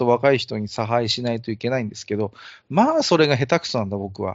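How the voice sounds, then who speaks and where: A man speaks rather quickly, his pitch shifting in a normal way. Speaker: amateur podcast host. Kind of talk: casual chat. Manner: self-described clumsy talker.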